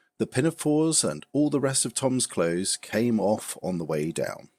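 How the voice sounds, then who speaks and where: In an English accent, a man speaks at a moderate pace in a calm, soothing tone with very wide pitch swings, captured in a very clean recording with a silent background and a dry, close sound with no echo. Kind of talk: bedtime story reading.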